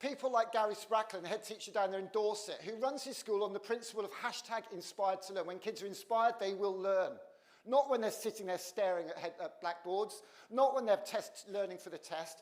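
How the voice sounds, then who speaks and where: Fairly quick in pace, a man talks at a high pitch. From England, Shropshire. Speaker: conference speaker, creativity campaigner. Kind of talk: conference keynote talk. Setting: stage with audience. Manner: fast; animated.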